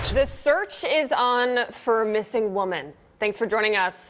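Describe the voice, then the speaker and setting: In an ordinary speaking voice, a woman talks at a fairly slow pace with fairly high pitch and lively intonation. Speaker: TV news anchor and reporter. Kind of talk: TV news anchor read.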